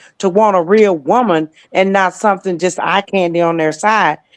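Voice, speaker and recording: A woman speaks in a plain, everyday voice at medium pitch. Her intonation is fairly even and her pace moderate. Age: 60s. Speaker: talk show panelist. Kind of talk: casual debate.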